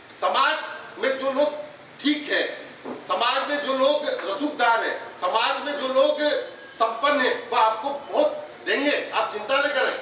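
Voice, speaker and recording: Amid noticeable background noise, a raised, projected voice with lively intonation breaks often into long pauses. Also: man, extremely high pitch for a man. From Rajasthan, India. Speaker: historian and college professor. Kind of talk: ceremony speech.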